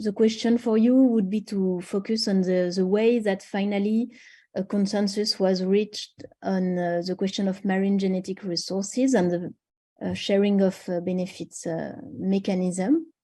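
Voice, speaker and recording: Over a quiet background, a woman talks in a somewhat breathy, dark, mellow tone at medium pitch, her intonation fairly even. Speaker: webinar moderator. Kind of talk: panel moderation. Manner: halting, many fillers.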